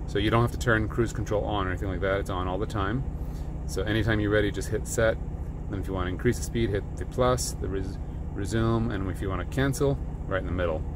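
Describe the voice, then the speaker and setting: Male voice, dry with no echo, over noticeable background noise. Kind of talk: tutorial. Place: car. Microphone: phone near.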